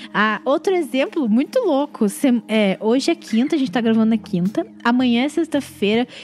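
A woman's high-pitched voice with lively intonation, very even loudness, hardly any pauses and a moderate pace, over noticeable background noise. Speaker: podcast co-host. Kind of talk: casual chat.

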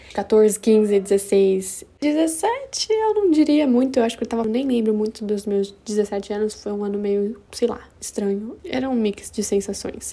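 A woman speaks fairly slowly at a fairly high pitch, animated, with ordinary pitch variation and hardly any pauses. Noticeable background noise is present. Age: 20s. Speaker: podcaster. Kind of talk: casual personal monologue.

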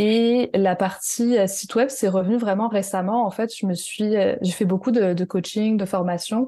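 A woman talks at a fairly slow pace, her medium pitch showing ordinary variation. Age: 30s. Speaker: artisan and web designer for entrepreneurs. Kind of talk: interview.

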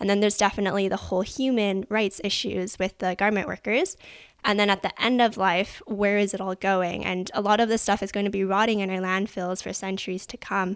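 With a Canadian accent, a woman speaks at a fairly quick pace in a medium pitch, her intonation monotone and flat, on a very clean recording with a silent background. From Canada. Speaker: sustainable fashion consultant. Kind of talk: casual interview.

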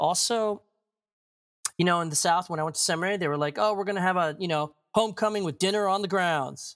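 A man's high voice at a very fast pace with ordinary pitch variation. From Maryland, US. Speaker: pastor. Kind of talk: interview.

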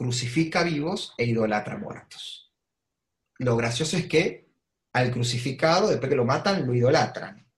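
This man's voice sits at a medium pitch and sounds somewhat breathy. He talks at a fairly slow pace with lively intonation. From Argentina, Avellaneda (Buenos Aires province). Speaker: political analyst and columnist. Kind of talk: online talk / interview.

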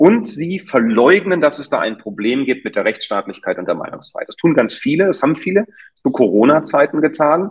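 Delivery holds a moderate pace. Pitch moves up and down over a very wide span. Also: man. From Germany, Berlin. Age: middle-aged. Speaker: doctor. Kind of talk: interview. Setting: video call. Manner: animated.

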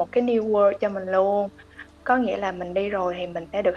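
A woman with a normal speaking voice, medium pitch and ordinary pitch variation at a fairly slow pace. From Vietnam. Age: 20s. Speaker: consumer analyst. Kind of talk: interview.

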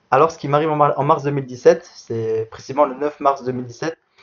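The speaker is a man. He talks at a moderate pace. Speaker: para athlete. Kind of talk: interview. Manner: halting.

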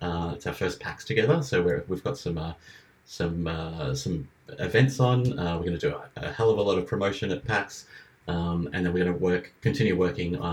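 A man's very deep, low voice with lively intonation and an Australian accent. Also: moderate pace. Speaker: live streamer. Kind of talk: casual chat.

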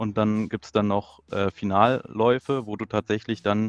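A man's plain, everyday voice, fairly low in pitch, at a fairly slow pace with fairly even intonation, in a dry, close sound with no echo. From near Braunschweig, Lower Saxony, Germany. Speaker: FPV drone racing pilot. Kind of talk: casual chat.

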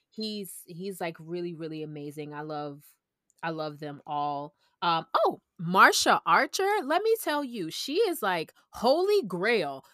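A woman with an American accent, fairly low in pitch, bright and sharp in tone, with big swings in loudness and a dry, close sound without echo. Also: lively intonation, fairly slow pace, very clean recording, silent background. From US South, Orlando, Florida. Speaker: food journalist and freelance writer. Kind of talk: casual interview chat.

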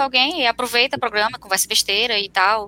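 The voice is raised and projected, with lively intonation. Words come at a very fast pace. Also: woman. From Fortaleza, northeastern Brazil. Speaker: software engineer. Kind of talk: casual chat. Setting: live video stream.

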